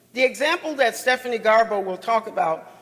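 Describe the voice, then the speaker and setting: Loud speech with ordinary pitch variation over noticeable background noise. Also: man. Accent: American. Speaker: chief judge, panel speaker. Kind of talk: conference panel talk. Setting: conference session with audience.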